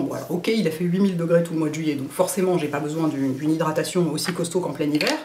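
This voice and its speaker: The speech comes at a very fast pace, with audible room echo and noticeable background noise. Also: woman. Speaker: beauty vlogger. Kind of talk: product review vlog. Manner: hesitant, many fillers.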